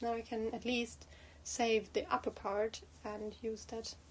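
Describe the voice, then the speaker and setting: A woman's fairly high-pitched voice. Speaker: knitting vlogger. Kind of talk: casual chat. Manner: halting, many fillers.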